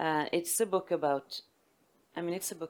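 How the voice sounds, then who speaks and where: A woman's fairly low voice with a Swedish accent under noticeable background noise. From northern Sweden (Västerbotten). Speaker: literary translator and publisher. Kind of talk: onstage literary conversation. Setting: stage with audience. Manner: halting.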